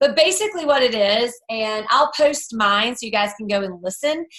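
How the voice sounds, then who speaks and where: A woman speaks loudly at a fairly high pitch. Her tone is bright and sharp, with lively intonation. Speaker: team leader for a direct sales group. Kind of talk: team call training talk.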